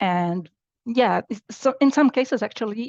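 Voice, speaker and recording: A woman's voice with vocal fry, dry and close with no echo, over a quiet background. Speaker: applied AI scientist. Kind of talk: technical workshop presentation. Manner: halting, many fillers.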